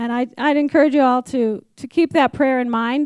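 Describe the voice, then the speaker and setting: A high-pitched woman with an American accent speaks at a moderate pace in a monotone, flat way, the sound dry and close with no echo in a very clean recording with a silent background. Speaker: ministry program leader. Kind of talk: testimony.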